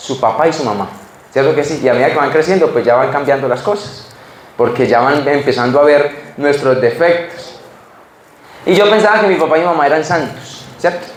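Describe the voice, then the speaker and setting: Over noticeable background noise and audible room echo, a man is speaking. He keeps a fairly quick pace with ordinary pitch variation. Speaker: preacher. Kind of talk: sermon. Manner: halting, repeats words.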